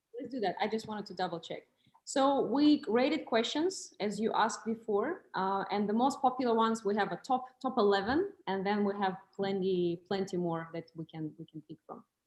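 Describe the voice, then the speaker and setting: A woman speaks with lively intonation at a fairly high pitch. Her loudness swings in big ways. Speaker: moderator and interpreter. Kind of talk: hosting a live Q&A talk. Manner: fast.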